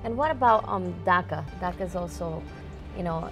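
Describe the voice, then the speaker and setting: A woman keeps a moderate pace while clear music plays in the background. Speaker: TV interviewer. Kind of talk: TV interview questions. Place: studio.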